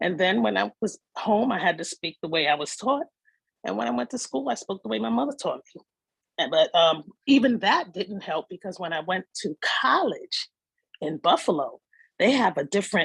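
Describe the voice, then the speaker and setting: Speaking in a Bronx accent, a woman uses a medium pitch with very wide pitch swings at a moderate pace. The sound is dry and close with no echo. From New York City (the Bronx). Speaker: participant in community session. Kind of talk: personal testimony in group discussion.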